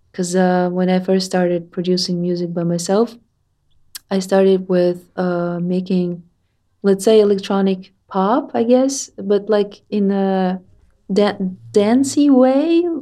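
A very slow delivery in a Russian accent, with a dark, mellow tone and ordinary pitch variation. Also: woman, medium pitch for a woman. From Russia, Tatarstan. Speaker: musician. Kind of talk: interview.

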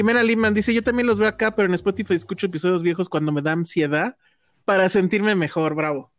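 The speech moves at a very fast pace. It is a very clean recording with a silent background. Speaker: film podcast co-host. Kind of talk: casual chat.

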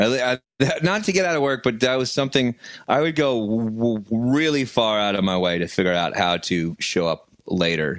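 Animated in tone, a man speaks at a moderate pace and medium pitch with very wide pitch swings, in front of a quiet background. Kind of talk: casual comedy banter. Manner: animated, joking.

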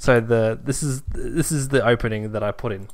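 A man speaks at a fairly slow pace with an Australian accent. His pitch sits in the medium range. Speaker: podcast co-host. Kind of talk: casual chat.

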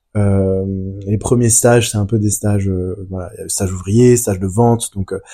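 On a very clean recording with a silent background, a man speaks with a fairly low pitch, fairly even intonation, a dark, mellow tone and a somewhat breathy quality. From France. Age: 20s. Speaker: business school graduate. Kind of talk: casual chat.

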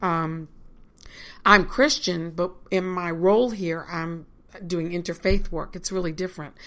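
A woman with a fairly low pitch and a slight Virginia accent, talking at a fairly slow pace with fairly even intonation. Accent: Southern US (Virginia), slight. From Virginia, US. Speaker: college chaplain and reverend. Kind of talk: casual interview.

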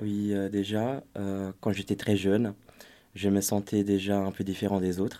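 A man speaks with a Portuguese accent in a fairly low pitch and a dark, mellow tone. His delivery is monotone and flat, fairly slow and very even in loudness, with long, frequent pauses. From Brazil. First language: Portuguese (speaking French). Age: 20s. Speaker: youth volunteer. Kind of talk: panel discussion.

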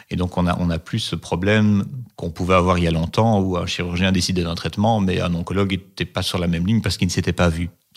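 Monotone and flat, a man with a very deep, low pitch speaks at a very fast pace. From Belgium, Liège. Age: 40s. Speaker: oncology nurse. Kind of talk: interview. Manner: hesitant, many fillers.

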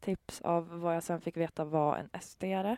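The voice has a dark, mellow tone and monotone, flat intonation. The recording is very clean, dry and close, with no echo and a silent background. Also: woman. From Sweden, Gävle. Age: 20s. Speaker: social media commentator. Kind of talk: casual conversation. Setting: in a horse trailer at a trotting track.

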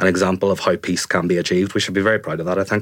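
Very deep and low in pitch, a man talks in a monotone, flat intonation. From Northern Ireland, Fermanagh. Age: 30s. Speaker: journalist. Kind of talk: casual chat. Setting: studio.

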